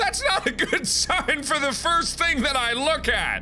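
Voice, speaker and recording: A put-on character voice, loud and strained, with a high pitch. It moves at a moderate pace over clear background noise. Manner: strained, loud.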